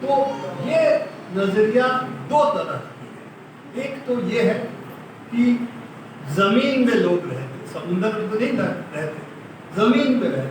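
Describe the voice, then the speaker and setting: In a Bengali accent, a man with a high pitch and very wide pitch swings speaks with long, frequent pauses, amid audible room echo and noticeable background noise. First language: Bengali (speaking Hindi). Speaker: journalist and editor giving a lecture. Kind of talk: lecture.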